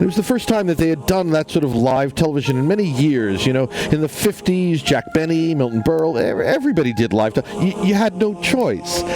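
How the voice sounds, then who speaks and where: Against background music, a man talks at a fairly quick pace, his pitch swinging very widely while his loudness stays very even. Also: fairly high pitch for a man. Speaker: comedy show host. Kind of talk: comedic improv interview. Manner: fast; halting, repetitive.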